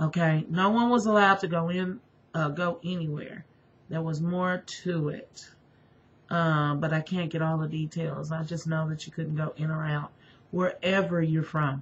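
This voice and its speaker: Somewhat breathy, a woman speaks at a fairly low pitch and moderate pace with fairly even intonation. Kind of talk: religious testimony monologue. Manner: halting, many fillers.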